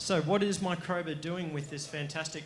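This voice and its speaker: With an Australian accent, a man speaks in fairly even intonation, and room echo is audible. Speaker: company executive presenting to investors. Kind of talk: investor pitch presentation.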